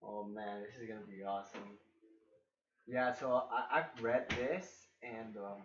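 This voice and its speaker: With a non-native accent, a man at a medium pitch speaks at a fairly slow pace with ordinary pitch variation, big swings in loudness, and long, frequent pauses, while room echo is audible. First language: not English. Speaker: gaming reaction youtuber. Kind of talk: game reaction with reading aloud.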